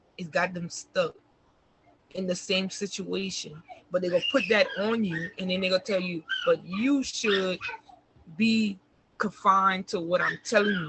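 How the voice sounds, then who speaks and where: A woman's medium-pitched voice at a moderate pace, fairly even in intonation, with long, frequent pauses and noticeable background noise. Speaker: interview guest sharing life story. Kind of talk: casual interview, personal testimony. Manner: soft-spoken.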